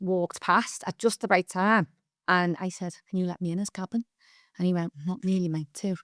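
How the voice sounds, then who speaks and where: In a Liverpool accent, a woman talks at medium pitch and a fairly quick pace, recorded very cleanly against a silent background with a dry, close sound and no echo. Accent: Scouse (Liverpool). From Liverpool, England. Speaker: performer and theatre school owner. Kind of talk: casual interview chat. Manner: animated storytelling.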